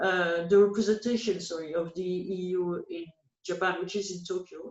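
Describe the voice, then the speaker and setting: A woman with a French accent speaks at medium pitch and a moderate pace, her intonation fairly even but with big swings in loudness. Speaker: policy analyst. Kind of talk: interview. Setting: call. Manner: halting.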